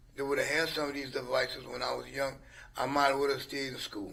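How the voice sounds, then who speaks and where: A man's voice, bright and sharp in tone. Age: 70s. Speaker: retired business owner. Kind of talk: casual chat.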